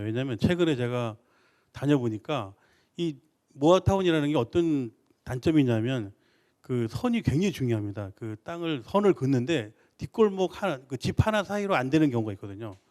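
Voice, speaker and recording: Lively intonation marks this male voice, which has a dark, mellow tone. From Seoul. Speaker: real estate expert. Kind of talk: expert Q&A answer.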